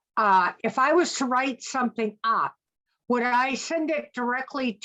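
A woman with a Maine accent talks at a moderate pace in a high, bright, sharp voice. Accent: Maine accent, noticeable. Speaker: commission member. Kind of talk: public meeting discussion.

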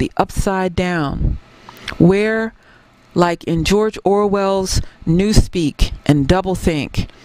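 Amid noticeable background noise, a woman with a medium pitch and ordinary pitch variation speaks at a very slow pace. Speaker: historian. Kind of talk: keynote speech.

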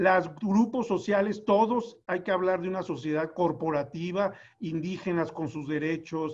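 Over a quiet background, a man speaks at a high pitch and a fairly slow pace with ordinary pitch variation. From Dolores Hidalgo, Guanajuato, Mexico. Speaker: historian, academic director. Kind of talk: academic panel discussion. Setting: video call. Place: home room. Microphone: video call.

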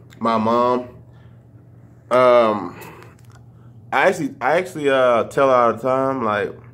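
A man's voice with an American accent and ordinary pitch variation. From Louisiana and Texas (Shreveport, Dallas); Louisiana. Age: 20s. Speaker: YouTuber. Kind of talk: casual vlog Q&A. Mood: relaxed, reflective. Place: kitchen. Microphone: phone near.

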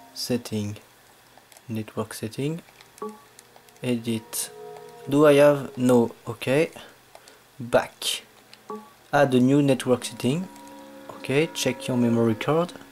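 Speaking with a French accent, a man goes at a very slow pace with long, frequent pauses. Music plays in the background. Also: fairly even intonation. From France. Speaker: gamer making a tutorial. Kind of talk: casual tutorial voice-over. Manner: hesitant, halting. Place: home room. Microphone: phone near.

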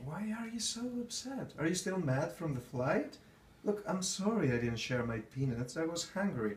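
With a slight continental European accent, a man talks in a high voice at a moderate pace. His pitch swings very widely, and background noise is noticeable. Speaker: actor. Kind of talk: acted dramatic scene dialogue.

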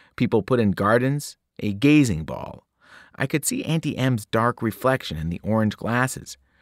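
Someone reads aloud plainly. Behind the voice, the background is quiet.

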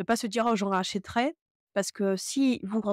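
A woman speaks at a fairly quick pace with fairly even intonation. The sound is dry with no echo, and the background is quiet. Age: 30s. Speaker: knitting youtuber and yarn dyer; knitting youtuber. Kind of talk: tutorial. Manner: hesitant, many filler sounds. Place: home room. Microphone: lapel.

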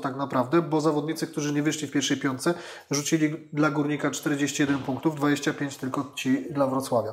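A man is speaking. His pace is moderate. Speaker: talk show panelist. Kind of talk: panel discussion commentary. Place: studio.

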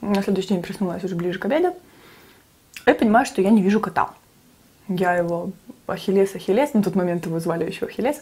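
Ordinary pitch variation marks a woman talking at a very fast pace. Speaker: mukbang vlogger. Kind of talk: casual storytelling vlog chat. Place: kitchen.

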